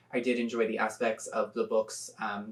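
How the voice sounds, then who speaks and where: Moderate pace over noticeable background noise. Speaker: book youtuber. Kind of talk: casual reaction commentary. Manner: hesitant, many fillers.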